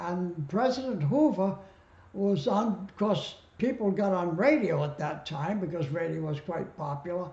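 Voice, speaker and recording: Loudness swings widely as a man with a high voice speaks at a moderate pace, his intonation lively. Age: 80s+. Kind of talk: interview answer.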